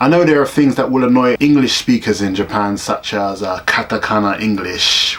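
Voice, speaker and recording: A South London accent with lively intonation at a moderate pace, over noticeable background noise. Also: man. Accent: South London, Bermondsey. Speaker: teacher in Japan. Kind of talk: casual talk to camera. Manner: ranting, sarcastic.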